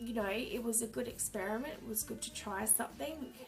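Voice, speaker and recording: A woman's upbeat tone at a fairly quick pace with ordinary pitch variation, with music in the background. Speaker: journaling hobbyist. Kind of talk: casual talk to camera.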